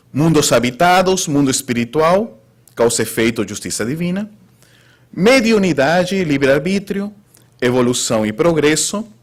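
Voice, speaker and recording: A man with a Spanish accent and very wide pitch swings. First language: Spanish (speaking Portuguese). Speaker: spiritist lecturer. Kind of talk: lecture. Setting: spiritist center with audience.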